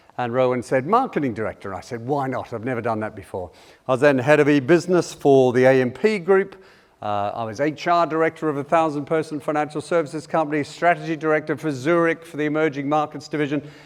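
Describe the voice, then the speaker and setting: A very fast voice with an Australian accent, ordinary pitch variation and a quiet background. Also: man, fairly high pitch for a man. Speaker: keynote speaker, change management consultant. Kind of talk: conference talk. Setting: stage with audience. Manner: animated.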